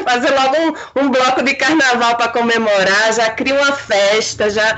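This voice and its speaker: There is noticeable background noise as a woman talks. Her pace is moderate. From Olinda, Pernambuco, Brazil. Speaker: filmmaker and actress. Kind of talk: casual chat.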